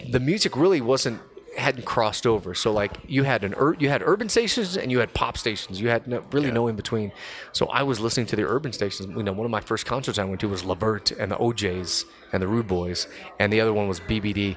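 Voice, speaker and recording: This man speaks very fast at medium pitch with an American accent. His pitch variation is ordinary. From Los Angeles, California. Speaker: DJ and radio personality. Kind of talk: casual chat. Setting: studio.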